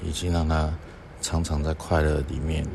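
A man talks at a fairly slow pace in a very deep, low voice with flat, monotone intonation. There is audible room echo and noticeable background noise. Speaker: doctor and podcast host. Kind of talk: reflective monologue talk. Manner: unhurried with frequent filler sounds.

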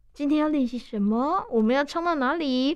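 The voice moves at a fairly quick pace, with a warm, animated tone and lively intonation. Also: woman. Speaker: radio host. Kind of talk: radio interview. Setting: radio studio. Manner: warm, animated, laughs often.

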